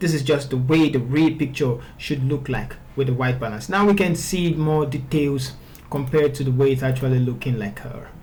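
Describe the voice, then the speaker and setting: A man speaks fairly quickly amid audible room echo and noticeable background noise. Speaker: photo retouching tutor. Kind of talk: software tutorial. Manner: stuttering at times; casual, conversational.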